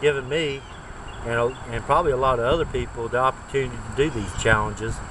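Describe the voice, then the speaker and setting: A man talks at a fairly quick pace and medium pitch in a relaxed tone. Noticeable background noise can be heard. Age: 50s. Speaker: bushcraft vlogger. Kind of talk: casual vlog. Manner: relaxed, halting with fillers.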